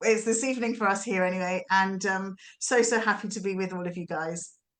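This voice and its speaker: A woman speaks with a British accent at a fairly quick pace. Her intonation stays fairly even. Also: medium pitch for a woman. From England, just outside London. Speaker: youth coach. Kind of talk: self-introduction.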